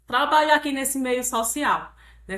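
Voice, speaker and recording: A woman with a Ceará accent and ordinary pitch variation. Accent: Northeastern Brazilian (Ceará). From Brazil, Ceará (Northeast). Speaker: pension fund director and digital influencer. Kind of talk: interview conversation.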